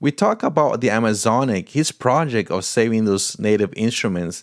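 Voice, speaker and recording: With a Portuguese accent, a man speaks at a medium pitch and a moderate pace. His pitch variation is ordinary, and the recording is very clean with a silent background. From Paraguay, Brazilian family. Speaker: podcast host. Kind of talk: casual interview; scripted podcast intro.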